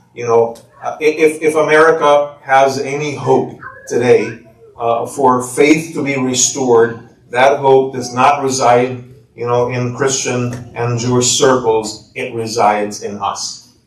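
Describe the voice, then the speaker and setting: A man talks at a fairly slow pace, his voice carrying an audible room echo. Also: medium pitch for a man, fairly even intonation. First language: not English. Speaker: imam and author. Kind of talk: speech.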